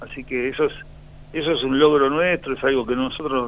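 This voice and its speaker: At a moderate pace, a man speaks at medium pitch. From Argentina, Mar del Plata. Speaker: former footballer. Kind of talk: radio interview. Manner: halting.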